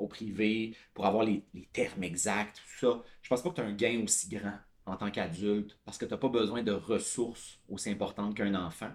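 This man has a fairly low voice with a Quebec accent. His loudness swings widely. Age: 30s. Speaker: tech product director. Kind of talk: casual interview.

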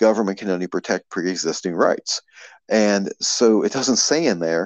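Against a quiet background with a dry, close sound and no echo, a man speaks at a moderate pace in an ordinary speaking voice with ordinary pitch variation. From Maryland. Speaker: political activist, grassroots group director. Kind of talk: casual interview.

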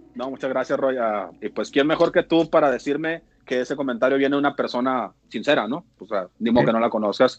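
A man speaks in a plain, everyday voice at a fairly quick pace with hardly any pauses. His pitch variation is ordinary. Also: medium pitch for a man. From Mexico, Mexicali (Baja California). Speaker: former professional baseball pitcher. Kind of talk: casual chat.

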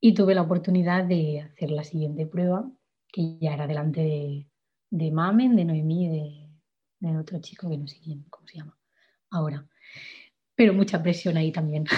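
A woman's somewhat breathy, fairly low voice at a moderate pace, with ordinary pitch variation and long, frequent pauses. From Catalonia, Spain (Igualada). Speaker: singer-songwriter. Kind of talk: interview.

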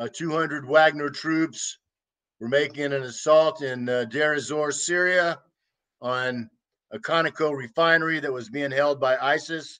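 A man speaks with an American accent at a fairly high pitch. His tone is bright and sharp. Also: fairly even intonation, fairly slow pace. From United States. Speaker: war veteran. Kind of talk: interview.

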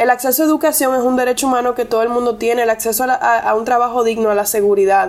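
Delivered at a very fast pace with hardly any pauses, the speech keeps a very even loudness and ordinary pitch variation over noticeable background noise. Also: woman, high pitch for a woman. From Puerto Plata, Dominican Republic, Argentine family. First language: English (speaking Spanish). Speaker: lawyer. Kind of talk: casual interview.

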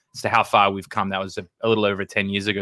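Monotone and flat in intonation, a man with an Australian accent speaks at a fairly low pitch. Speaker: recruitment agency founder. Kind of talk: podcast interview. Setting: video call.

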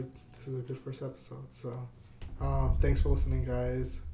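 With audible room echo and noticeable background noise, a man talks at a moderate pace, leaving long, frequent pauses. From northeastern Pennsylvania. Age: 20s. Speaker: podcast host. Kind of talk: casual chat.

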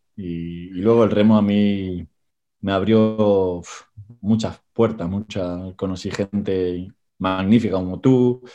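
A man's fairly low, dark, mellow voice at a very slow pace, with fairly even intonation. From Argentina (Tigre, Buenos Aires province). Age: 40s. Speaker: rowing coach and former champion rower. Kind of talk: interview.

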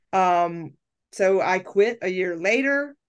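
A woman speaks with ordinary pitch variation. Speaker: life coach and podcast host. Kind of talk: casual chat. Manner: loud; talkative.

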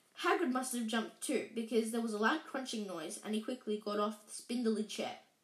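The reading voice is natural, and its intonation stays fairly even.

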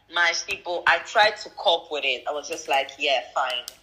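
Delivered at a fairly slow pace, the speech has noticeable background noise behind it. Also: woman. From DR Congo. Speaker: entrepreneur. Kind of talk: casual chat.

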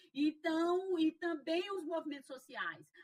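This woman's tone is bright and sharp. She speaks at a fairly slow pace. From Piauí, Brazil. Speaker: sociology professor and racial equality official. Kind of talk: interview.

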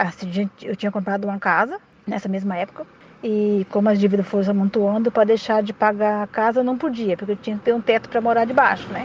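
The woman's intonation stays fairly even. Noticeable background noise runs underneath. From Brazil, Mato Grosso. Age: 40s. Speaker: domestic worker and student. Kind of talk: personal testimony.

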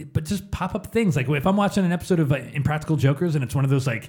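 A somewhat breathy man with a fairly high pitch and lively intonation is heard in a very clean recording over a silent background. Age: 30s. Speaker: podcast co-host. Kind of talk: casual chat.

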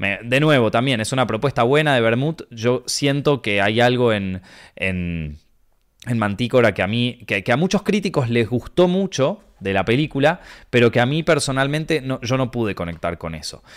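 In a Rioplatense accent, a man speaks with an animated tone, very wide pitch swings and a moderate pace, recorded very cleanly against a silent background. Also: medium pitch for a man. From Argentina. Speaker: podcast host, film critic. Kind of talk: casual chat. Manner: quieter than usual.

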